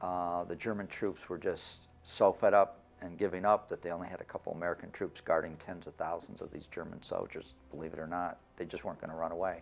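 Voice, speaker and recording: With a Michigan accent, a man talks at a fairly quick pace in a very deep, low pitch, his intonation monotone and flat, his loudness swinging widely and hardly any pauses between words. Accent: Midwestern US (Michigan). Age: 60s. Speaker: son of a war veteran. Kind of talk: interview testimony. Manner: halting, with fillers.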